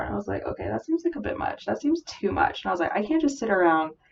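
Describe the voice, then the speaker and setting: A woman is speaking. She mumbles. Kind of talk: casual talk to camera. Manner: mumbled.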